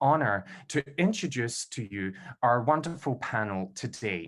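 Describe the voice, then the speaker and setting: The speaker has a Scottish accent and a fairly slow pace. The pitch swings very widely. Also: man. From Scotland, Glasgow. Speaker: event host, PhD candidate. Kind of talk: formal event introduction. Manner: formal.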